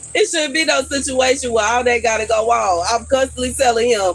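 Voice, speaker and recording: Against noticeable background noise, a woman speaks in an animated tone at a moderate pace. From Houston, Texas. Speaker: live streamer. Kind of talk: casual live stream chat. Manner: animated, repetitive.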